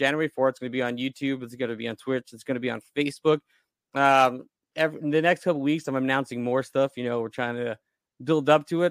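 Recorded dry and close with no echo, this is an ordinary speaking voice with an American accent and ordinary pitch variation. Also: man. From Long Island, New York. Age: 20s. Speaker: independent filmmaker and sound engineer. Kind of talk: casual interview chat.

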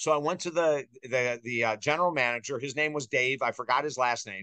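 Dry and close with no echo, a man with an American accent talks at a fairly quick pace in a fairly high pitch, his bright, sharp tone showing ordinary pitch variation. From US Northeast (Syracuse, New York). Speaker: author and life coach. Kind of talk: interview. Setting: studio.

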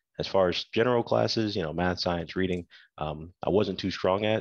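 This man talks at a moderate pace with fairly even intonation, his voice dry and close with no echo against a quiet background. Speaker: soldier and cybersecurity student. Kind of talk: casual interview.

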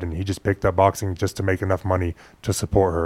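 Very deep and low, a man's voice races at a very fast pace with fairly even intonation. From Phoenix, Arizona. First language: Spanish. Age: 20s. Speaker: professional boxer. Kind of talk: interview. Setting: studio.

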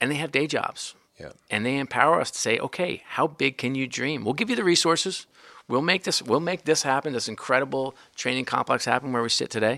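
A man talks at a fairly quick pace with a fairly high pitch and a bright, sharp tone. The recording is very clean, with a silent background. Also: ordinary pitch variation. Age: 40s. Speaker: sports team executive. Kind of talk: interview conversation. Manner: intense, energetic.

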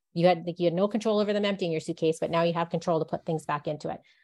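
A woman talks with a western Canadian accent and a fairly low pitch. The background is quiet. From Canadian Rocky Mountains. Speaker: bookseller. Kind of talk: interview.

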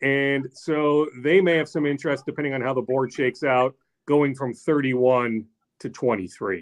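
A man talks at a fairly slow pace at medium pitch, with ordinary pitch variation. It is an ordinary speaking voice. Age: 40s. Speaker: sports reporter. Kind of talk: casual chat.

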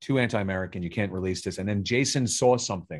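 In a New York accent, a man talks at a fairly quick pace with a fairly low pitch and ordinary pitch variation. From Staten Island, New York. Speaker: film director and writer. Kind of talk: casual interview chat.

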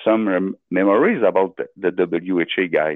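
With a Quebec accent, a man talks at a fairly slow pace. His pitch is fairly low. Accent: Québécois French-accented English. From Quebec, Beauce. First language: French. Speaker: caller. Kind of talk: casual chat. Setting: phone call. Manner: halting.

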